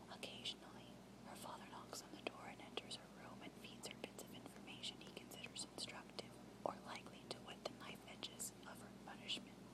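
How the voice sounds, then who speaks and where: Noticeable background noise sits beneath a whisper delivered at a fairly quick pace. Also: woman. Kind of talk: novel reading. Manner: whispered.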